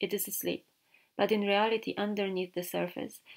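A woman talks at a moderate pace as music plays in the background. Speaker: filmmaker and artist. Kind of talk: documentary voiceover narration.

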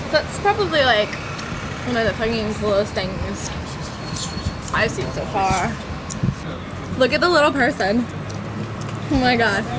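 A woman speaks at a fairly slow pace while loud background noise plays. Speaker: comic travel vlog character. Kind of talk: casual vlog chat. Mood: whiny, bored, complaining. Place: bus. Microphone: camera far.

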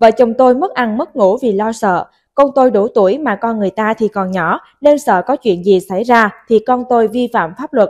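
In an ordinary speaking voice, a woman talks at a fairly high pitch and moderate pace with ordinary pitch variation, the sound dry and close with no echo against a quiet background. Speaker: news reader. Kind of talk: news reading.

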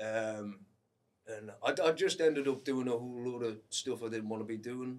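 A man speaks in an ordinary speaking voice at a moderate pace. His pitch is medium and his intonation fairly even. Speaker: singer-songwriter. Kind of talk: casual chat.

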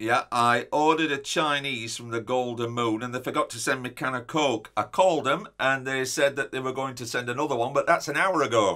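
A man talks at a fairly quick pace with hardly any pauses. His pitch varies in an ordinary way against a quiet background. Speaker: comic character. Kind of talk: comedy sketch monologue. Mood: indignant, complaining. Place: office.

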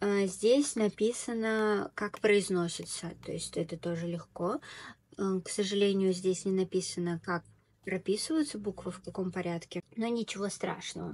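A woman's medium-pitched voice moves fairly slowly, with ordinary pitch variation. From Tatarstan, Russia. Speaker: video blogger and Korean language tutor; video blogger, Korean language tutor. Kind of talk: tutorial. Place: home room. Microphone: earbuds.

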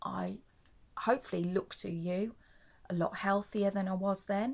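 Somewhat breathy, a woman speaks at a fairly slow pace in a medium pitch with ordinary pitch variation. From England. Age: 40s. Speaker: leukaemia patient and vlogger; charity awareness vlogger. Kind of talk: personal testimony vlog. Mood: earnest, upbeat about her illness. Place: home room.

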